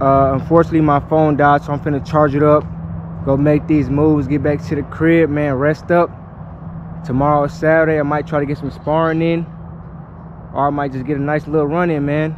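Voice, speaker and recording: A man talks at a fairly quick clip in a flat monotone, the sound dry with no echo and noticeable noise behind him. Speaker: amateur boxer vlogger. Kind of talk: casual vlog chat. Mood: relaxed, thankful. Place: gym. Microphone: phone near.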